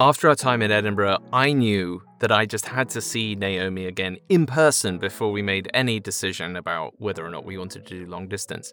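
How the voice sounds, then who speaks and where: A man with a southern English accent and fairly low pitch talks at a fairly quick pace with hardly any pauses. His tone is bright and sharp, his pitch varies in an ordinary way, and his loudness swings widely. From England, Chelmsford (Essex). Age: 30s. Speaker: voiceover actor. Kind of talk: casual storytelling.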